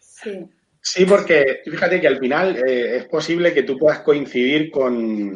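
At a fairly slow pace, a man with an unremarkable speaking voice talks with lively intonation. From Spain, Murcia. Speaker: hospitality trainer and sommelier. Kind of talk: video call interview. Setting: remote video call from home.

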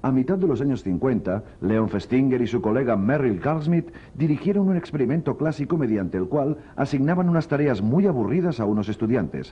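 A man at medium pitch speaks at a moderate pace, somewhat breathy, with very wide pitch swings and very even loudness. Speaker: documentary narrator. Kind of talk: scripted documentary narration. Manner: formal, measured.

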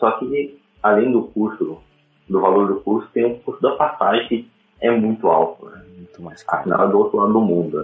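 The speech keeps a moderate pace while its loudness swings widely. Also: man. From Paraná, Brazil (interior). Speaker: web developer and designer. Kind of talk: casual interview.

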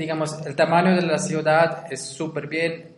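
Speaking at a very slow pace, a man has a high pitch. Noticeable background noise and audible room echo fill the recording. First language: not Spanish (Swiss learner, B2 level) (speaking Spanish). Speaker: language student. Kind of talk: interview. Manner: halting.

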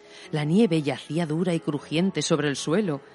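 At a moderate pace, a woman talks in a plain, everyday voice pitched fairly low. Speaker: radio host and audio storyteller. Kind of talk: scripted narration of a ghost story, read aloud with a spooky, eerie storytelling tone.

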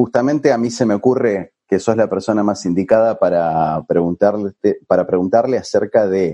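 With a Rioplatense accent and a dark, mellow tone, the speaker talks fairly slowly with ordinary pitch variation. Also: man. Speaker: podcast host. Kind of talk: casual interview. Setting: remote recording from home.

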